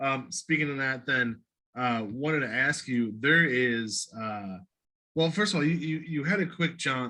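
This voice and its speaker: In a Midwestern US accent, a man with a bright, sharp tone speaks at a medium pitch and a moderate pace, with ordinary pitch variation. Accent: US Midwest. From Ohio, Cleveland. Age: 40s. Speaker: podcast host. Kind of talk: interview. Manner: casual.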